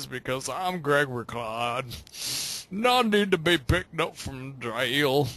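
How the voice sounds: A man puts on a character voice with a Southern accent, drawling at a fairly slow pace. His pitch sits at a medium level.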